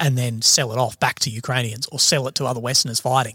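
A man with an Australian accent speaks at a fairly quick pace with fairly even intonation, in a dry, close sound with no echo. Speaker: army veteran and independent journalist. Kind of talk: casual chat. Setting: studio.

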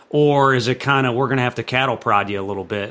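A man speaks at a fairly quick pace in an unremarkable speaking voice. His pitch is medium, with ordinary pitch variation. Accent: American. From St. Louis, Missouri, US Midwest. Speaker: baseball coach. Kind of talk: casual interview. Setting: gym.

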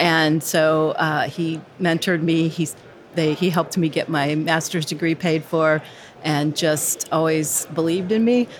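A woman speaks in a normal speaking voice with an American accent. Her pitch is fairly low and her pace moderate. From US. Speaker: instructional designer. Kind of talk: casual interview. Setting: recorded live at a conference.

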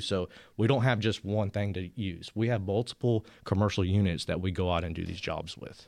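An ordinary speaking voice from a man, fairly low in pitch, with ordinary pitch variation at a fairly quick pace, on a very clean recording with a silent background. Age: 40s. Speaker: power washing business owner. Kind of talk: casual interview.

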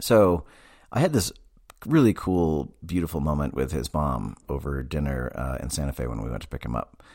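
A man speaks in a very deep, low voice with vocal fry. His intonation is lively, and the recording is very clean with a silent background. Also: moderate pace. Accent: American. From Massachusetts. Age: 40s. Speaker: therapist podcast host. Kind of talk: casual monologue.

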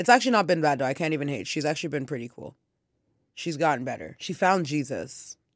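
A woman with a very deep, low voice talks at a very fast pace with lively intonation. The recording is very clean, with a silent background. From Haitian family, North America. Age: 30s. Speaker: podcast co-host. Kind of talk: casual chat.

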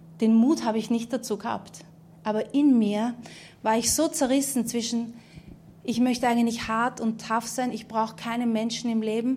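Heard with audible room echo, a woman talks at a moderate pace in a dark, mellow tone at a fairly high pitch, her intonation monotone and flat. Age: 30s. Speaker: preacher. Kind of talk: sermon testimony. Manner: halting.

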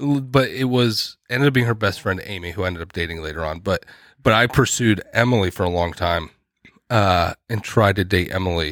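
In a plain, everyday voice, a man speaks fairly quickly at a fairly low pitch with ordinary pitch variation, recorded very cleanly against a silent background. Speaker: podcast co-host. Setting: drinking beer while recording. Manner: jokey, teasing.

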